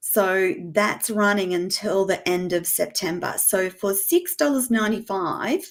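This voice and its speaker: Speaking at a fairly slow pace, a woman with an Australian accent uses a medium pitch and an animated tone. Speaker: former nurse turned media host. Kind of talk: interview.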